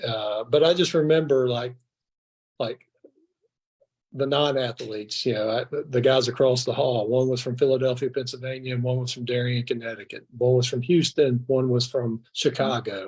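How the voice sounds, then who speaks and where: Somewhat breathy, a man with an American accent speaks at a moderate pace with fairly even intonation. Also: medium pitch for a man. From Mississippi (Brandon). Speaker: former college football player. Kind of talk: casual interview chat. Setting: live stream show.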